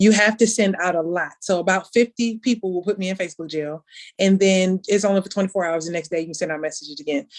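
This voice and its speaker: Speech at a very fast pace, intonation fairly even. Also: woman. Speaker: sales director. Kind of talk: training talk. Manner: casual.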